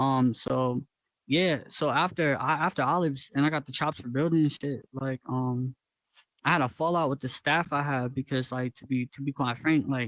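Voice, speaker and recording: A man with an American accent and an ordinary speaking voice talks at a moderate pace and fairly high pitch, his intonation fairly even, the sound dry and close with no echo. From Northwest Georgia, US. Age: 20s. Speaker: VR world builder and musician. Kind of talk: casual chat.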